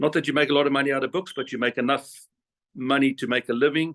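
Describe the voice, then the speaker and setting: An ordinary speaking voice from a man, fairly high in pitch and at a fairly quick pace, over a quiet background. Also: dry, close sound with no echo. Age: 50s. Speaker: whale photographer and guide. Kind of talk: interview answer on video call.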